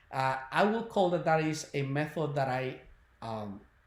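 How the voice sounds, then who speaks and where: At a moderate pace, a man with a non-native accent talks in a somewhat breathy, fairly high voice with very wide pitch swings. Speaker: spiritual healer and webinar presenter. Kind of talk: webinar talk. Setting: online video webinar. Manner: hesitant, many fillers.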